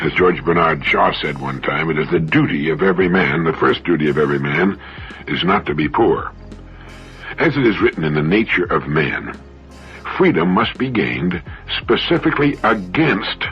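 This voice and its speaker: Music plays in the background as a man's pitch swings very widely at a moderate pace. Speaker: motivational speaker, radio host. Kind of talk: motivational radio talk. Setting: radio broadcast.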